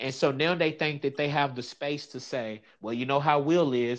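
Heard over a quiet background, a man speaks at a fairly high pitch with ordinary pitch variation. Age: 30s. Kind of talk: casual chat.

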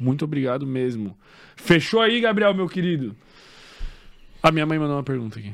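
A man speaks at a fairly quick pace with long, frequent pauses, his pitch fairly high for a man. His pitch swings very widely and his loudness rises and falls in big swings. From Santa Catarina, Brazil (western, Xaxim). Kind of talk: casual interview chat.

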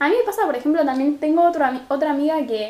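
A woman's high-pitched voice in a Rosario accent, at a fairly quick pace, over noticeable background noise. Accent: Rosario Argentine Spanish, drops r and s. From Argentina, Rosario. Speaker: podcast co-host. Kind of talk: casual chat.

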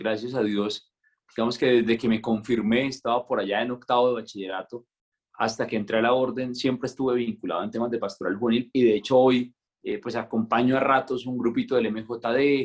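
Speaking at a fairly quick pace, a man with an ordinary speaking voice keeps his intonation fairly even. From Colombia, Santander. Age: 20s. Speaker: friar. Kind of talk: casual interview conversation.

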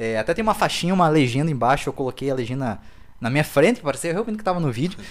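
Lively in intonation and animated in tone, a man speaks at a fairly high pitch. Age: 20s. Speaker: comedian and video creator. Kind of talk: casual interview chat.

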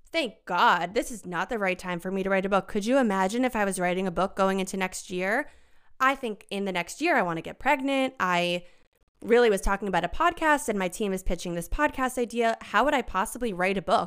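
Speaking in a normal speaking voice with an American accent, a woman goes at a fairly quick pace and medium pitch. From US suburbs. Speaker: content creator. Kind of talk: casual chat. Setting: video call.

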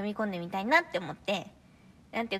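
Quiet and bright with a sharp tone, a woman's voice shows ordinary pitch variation. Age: 20s. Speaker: vocalist of a poetry reading unit. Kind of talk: casual chat.

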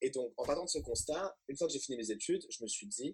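The sound is dry and close, with no echo at all. A man is the one talking. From Paris suburbs, France. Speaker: crypto entrepreneur. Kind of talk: casual interview.

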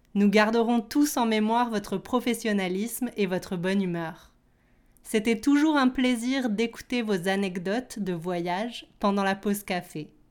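Delivered at a fairly slow pace, an ordinary speaking voice moves with ordinary pitch variation. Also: woman, fairly high pitch for a woman, very clean recording, silent background. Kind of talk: toast speech at a retirement party, read aloud as a language-lesson example. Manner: polite, formal and clear, evenly paced.

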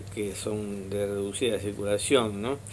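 Someone speaks at a very slow pace with a Rioplatense accent. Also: man. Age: 80s+. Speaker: historian and radio host. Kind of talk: radio interview. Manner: halting.

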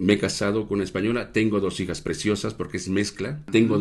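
With a fairly low pitch, a man's voice varies in an ordinary way. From Mexico. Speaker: restaurant owner. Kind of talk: casual interview.

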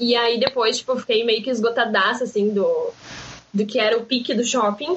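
At a moderate pace, a woman with a fairly high pitch speaks with fairly even intonation and very even loudness over noticeable background noise. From southern Brazil, Rio Grande do Sul coast. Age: 20s. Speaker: marketing student and pharmacy worker. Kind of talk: casual podcast interview. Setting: remote recording.

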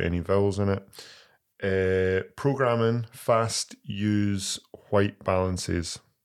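In a very clean recording with a silent background, a man with a Scottish accent speaks at a very slow pace. His pitch is fairly low and his intonation fairly even. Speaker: podcast co-host. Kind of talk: casual chat.

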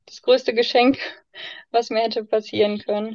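A woman's fairly high-pitched voice. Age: 20s. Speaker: foster mother and baby course leader. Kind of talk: personal testimony in interview. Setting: in-person recording in a room. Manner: many fillers, hesitant.

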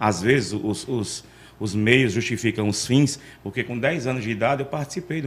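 Speaking in a plain, everyday voice, a man stays at a medium pitch and shows ordinary pitch variation. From Arapiraca, Alagoas, Brazil. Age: 40s. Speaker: street loudspeaker announcer. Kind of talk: casual interview. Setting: studio.

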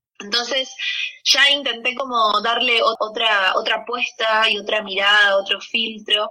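A woman has a normal speaking voice and a fairly high pitch. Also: fairly even intonation, fairly slow pace. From Argentina, Buenos Aires. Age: 30s. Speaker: musician. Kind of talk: interview.

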